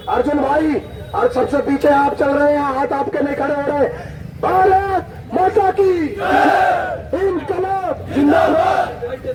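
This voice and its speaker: An extremely high-pitched man speaking at a very slow pace with lively intonation over crowd noise in the background. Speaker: protest speaker. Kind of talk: rally speech. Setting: outdoor rally with crowd. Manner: loud.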